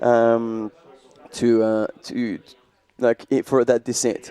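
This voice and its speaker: This is a man speaking with a French accent. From France. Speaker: trail running commentator. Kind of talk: live commentary.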